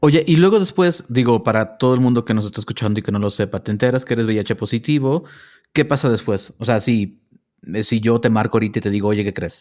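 At a fairly quick pace, a man with a plain, everyday voice speaks at a medium pitch with ordinary pitch variation, recorded very cleanly against a silent background. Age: 40s. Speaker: podcast host. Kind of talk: interview.

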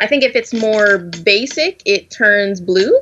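A woman talks with an American accent. Her pitch is medium, with ordinary variation. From US South. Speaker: graduate student in food science. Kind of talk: casual chat. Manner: halting, many fillers.

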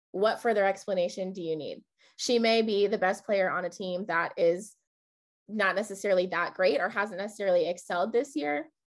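Against a quiet background, a woman with a normal speaking voice talks at a fairly quick pace with ordinary pitch variation. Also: medium pitch for a woman. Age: 20s. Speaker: podcast host. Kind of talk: casual chat.

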